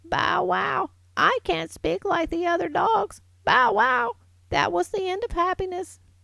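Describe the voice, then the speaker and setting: A woman's put-on character voice, extremely high-pitched and sad, at a fairly slow pace. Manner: sad, woeful.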